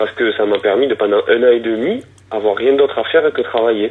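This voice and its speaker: A man with a southwestern French accent speaks at a moderate pace and a medium pitch with ordinary pitch variation. Noticeable background noise runs underneath. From southwest France. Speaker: woodworker and bicycle frame builder. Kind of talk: interview. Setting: phone call.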